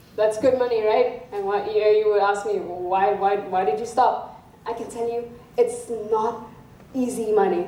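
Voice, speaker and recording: Noticeable background noise and audible room echo surround a woman speaking at a moderate pace. Her fairly high pitch holds a fairly even intonation, with a non-native accent. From South Africa. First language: not English. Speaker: student speaker. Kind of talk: public talk. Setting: stage with audience.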